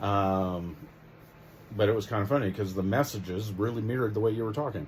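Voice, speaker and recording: Amid audible room echo, a man speaks somewhat breathily at a fairly quick pace, his fairly low pitch showing ordinary variation. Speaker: vlogger's husband. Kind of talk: casual chat. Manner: talkative.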